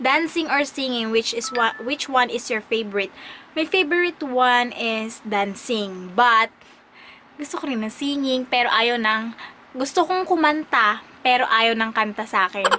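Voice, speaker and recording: Her voice is high-pitched, and her intonation is lively. The woman keeps a fairly slow pace. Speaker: vlogger and teacher. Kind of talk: casual vlog Q&A. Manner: hesitant, many fillers.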